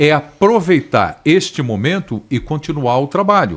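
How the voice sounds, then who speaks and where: Fairly high for a man and touched with vocal fry, his voice takes very wide pitch swings at a fairly slow pace. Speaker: football pundit. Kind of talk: panel discussion.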